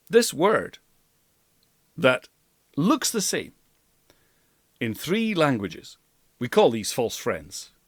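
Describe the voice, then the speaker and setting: A man with a Scottish Highlands accent speaks very slowly with long, frequent pauses, vocal fry and very wide pitch swings. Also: fairly high pitch for a man. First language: Scottish Gaelic. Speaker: language coach. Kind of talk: language lesson to camera. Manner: enthusiastic.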